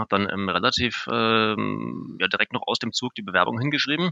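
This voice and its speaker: A man talks at a medium pitch with vocal fry. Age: 30s. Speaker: software developer. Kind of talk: interview.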